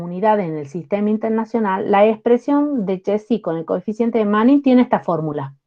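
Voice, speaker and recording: A woman with a normal speaking voice, fairly high pitch and lively intonation. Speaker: university lecturer. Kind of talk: lecture.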